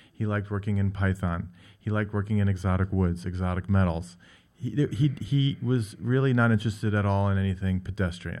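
Speaking at a fairly quick pace with an American accent, a man uses an unremarkable speaking voice, fairly low in pitch, with fairly even intonation. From New York. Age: 50s. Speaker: furniture gallery owner and designer. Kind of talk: radio interview.

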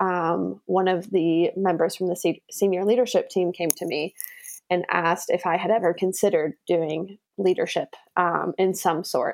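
This is a plain, everyday voice with fairly even intonation at a fairly slow pace. The recording is very clean, with a silent background. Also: woman. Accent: American. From US, Las Vegas, Nevada. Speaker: primary school teacher. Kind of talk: interview.

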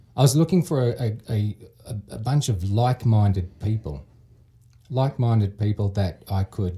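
Somewhat breathy, a man with an Australian accent speaks at a moderate pace. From Sydney, Australia. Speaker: real estate investor. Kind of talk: casual chat. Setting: studio.

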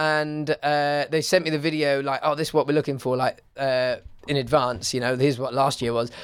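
With an English accent, a man talks at a fairly quick pace in a fairly high pitch, his intonation monotone and flat. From England. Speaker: podcast host. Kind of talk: casual chat.

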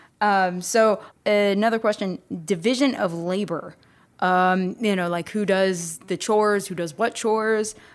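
In an ordinary speaking voice, a woman talks at a fairly slow pace and medium pitch with fairly even intonation, recorded very cleanly against a silent background. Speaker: podcast host. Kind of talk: casual chat.

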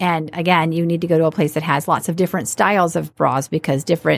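The speaker's voice carries vocal fry at a fairly quick pace with fairly even intonation. The recording is very clean, with a silent background. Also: woman. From Alabama. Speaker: entrepreneur, bra shop owner. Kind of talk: interview.

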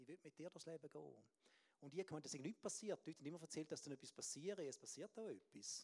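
In a dry, close recording with no echo, a dark, mellow voice with vocal fry races along at a very fast pace, its pitch varying in an ordinary way. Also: man, fairly high pitch for a man. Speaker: preacher. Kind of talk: sermon.

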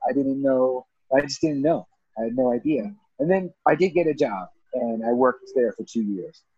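This man has a plain, everyday voice with an American accent and a medium pitch. He talks at a moderate pace with ordinary pitch variation. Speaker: mentor, entrepreneur. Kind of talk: casual conversation.

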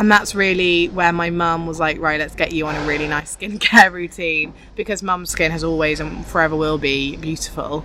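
A woman's fairly low voice at a moderate pace, with fairly even intonation and hardly any pauses, over noticeable background noise. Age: 20s. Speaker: fashion editor. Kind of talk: casual chat. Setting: outdoors.

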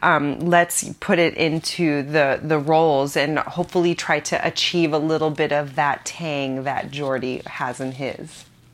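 The pace is fairly slow. The intonation stays monotone and flat. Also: woman, very deep, low pitch for a woman. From Philippines (childhood). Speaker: food editor. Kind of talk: interview.

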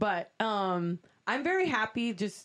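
A woman speaks with an American accent. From Miami, Florida. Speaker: singer and musician. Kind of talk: casual chat.

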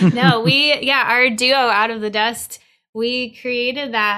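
A woman's bright, sharp voice, high-pitched, with an American accent, ordinary pitch variation and a very slow pace. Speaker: musician and recording artist. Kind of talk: casual interview chat. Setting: online video call.

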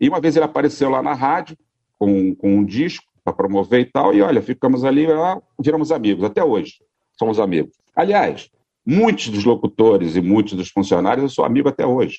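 A man talks at a fairly quick pace in a dark, mellow tone, his medium-pitched voice carrying lively intonation. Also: dry, close sound with no echo. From Brazil, Rio de Janeiro. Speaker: radio founder and former broadcaster. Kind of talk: interview, casual reminiscing.

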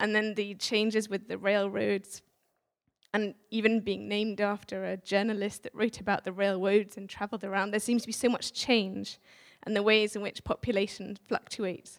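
Moderate-paced woman's voice in an English accent, medium pitch and monotone, flat intonation. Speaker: visiting speaker sharing a prophetic word. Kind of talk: church address. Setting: church with audience.

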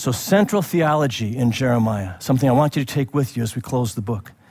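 A man speaks at a fairly quick pace, somewhat breathy, with ordinary pitch variation. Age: 60s. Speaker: pastor. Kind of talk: sermon. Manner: animated.

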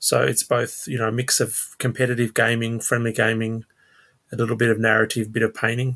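Speaking very fast, a man with an Australian accent holds a medium pitch. His intonation is monotone and flat, and the recording is very clean with a silent background. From Sydney, Australia. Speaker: tabletop wargamer. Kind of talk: casual chat.

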